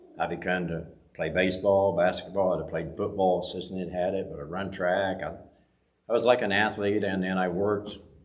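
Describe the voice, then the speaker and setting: A man's very deep, low voice with an American accent, fairly quick pace and fairly even intonation, plus audible room echo. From rural US farm country. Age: 70s. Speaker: church member giving testimony. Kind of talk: testimony. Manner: halting.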